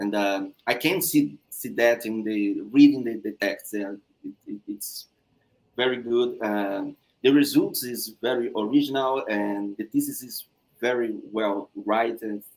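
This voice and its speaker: A man with a Brazilian Portuguese accent at medium pitch, a fairly slow pace, ordinary pitch variation and big swings in loudness. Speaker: thesis examiner. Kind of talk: thesis defense feedback. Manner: halting.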